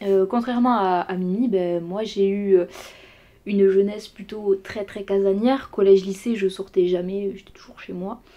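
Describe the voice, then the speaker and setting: A woman speaks at a moderate pace in a dark, mellow tone with a medium pitch. Her intonation is monotone and flat, while her loudness swings widely. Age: young. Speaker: student. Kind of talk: casual chat.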